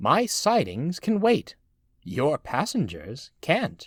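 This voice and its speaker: A man speaks very slowly in a put-on character voice, pitched high. The recording is very clean, with a silent background. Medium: read story. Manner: calm, smiling.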